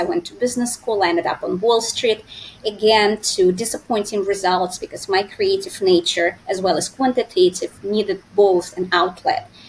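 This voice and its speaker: Noticeable background noise sits behind a woman's voice. She speaks at a moderate pace and medium pitch with ordinary pitch variation. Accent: Russian. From Russia. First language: Russian. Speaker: finance expert and entrepreneur. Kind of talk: interview. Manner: hesitant with fillers.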